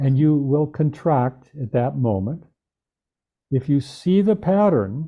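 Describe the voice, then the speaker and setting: The speaker goes at a very slow pace, somewhat breathy, with lively intonation. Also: man, fairly high pitch for a man. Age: 70s. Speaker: movement and body-awareness teacher. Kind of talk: interview.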